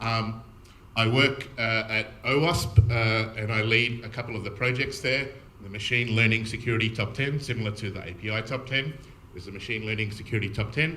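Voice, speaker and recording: A man with an Australian accent, medium pitch, fairly even intonation and a fairly quick pace, amid noticeable background noise and audible room echo. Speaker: security architect, conference speaker. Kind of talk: conference talk. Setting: stage with audience. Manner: fast.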